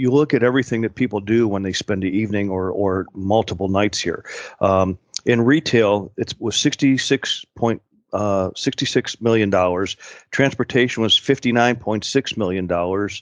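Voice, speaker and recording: A man talks in an ordinary speaking voice at a moderate pace, with a fairly low pitch and ordinary pitch variation. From Pittsburgh, Pennsylvania. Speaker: tourism executive. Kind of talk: interview.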